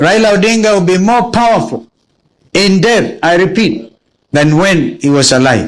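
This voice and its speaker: A man at a high pitch uses very wide pitch swings. His pace is moderate and his loudness stays very even. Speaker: politician. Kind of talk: memorial speech.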